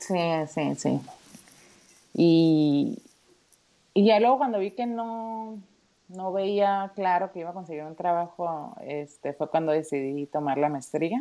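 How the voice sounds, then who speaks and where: With a dark, mellow tone, this voice moves at a very slow pace with long, frequent pauses, lively intonation and big swings in loudness, all in a very clean recording with a silent background. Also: woman, fairly low pitch for a woman. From Mexico, Tijuana (northern border). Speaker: project manager and mother. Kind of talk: casual chat.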